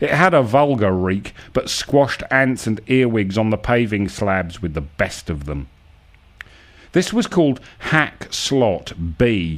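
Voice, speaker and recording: A man's fairly low voice with very wide pitch swings, delivered at a very slow pace. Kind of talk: dramatic narration of absurdist prose, accusatory second-person address. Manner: measured, rhythmic, formal storyteller cadence.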